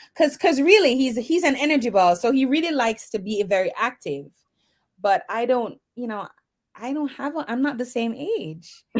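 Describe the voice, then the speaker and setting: In a very clean recording with a silent background, a woman with a high pitch speaks with a Jamaican accent at a moderate pace and lively intonation. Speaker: mentor and educator. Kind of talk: interview on internet radio. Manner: hesitant, many fillers.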